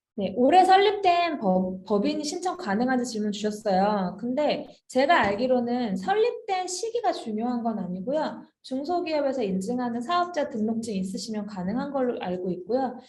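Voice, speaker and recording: Speaking at a moderate pace with hardly any pauses, a woman with a high pitch makes very wide pitch swings, and audible room echo surrounds her. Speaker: HR software consultant presenting a webinar. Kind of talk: webinar Q&A. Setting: online webinar.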